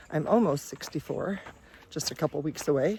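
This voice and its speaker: The woman's pitch varies in an ordinary way, and there is noticeable background noise. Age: 60s. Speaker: hiking vlogger, retired teacher. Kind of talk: casual vlog. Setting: outdoors on hiking trail.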